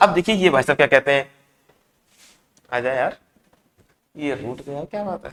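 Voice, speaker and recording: A fairly high-pitched man at a moderate pace, with ordinary pitch variation, long, frequent pauses and a dry, close sound with no echo. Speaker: engineering teacher. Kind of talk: lecture. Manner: conversational, asks rhetorical questions.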